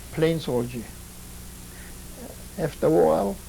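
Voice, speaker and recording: The room echo is audible. A man talks at a moderate pace. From Poland. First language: Polish. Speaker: Holocaust survivor. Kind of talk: testimony. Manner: halting.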